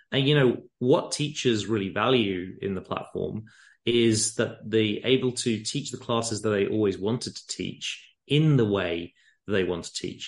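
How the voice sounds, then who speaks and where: Using ordinary pitch variation, a man with an English accent speaks at a moderate pace and medium pitch. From England. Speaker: company founder. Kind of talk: casual interview. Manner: gentle, passionate.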